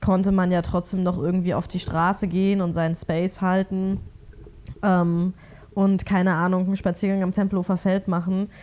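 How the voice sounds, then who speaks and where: At a moderate pace, a woman speaks in a dark, mellow, medium-pitched voice with monotone, flat intonation. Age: 20s. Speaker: podcast co-host. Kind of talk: casual chat.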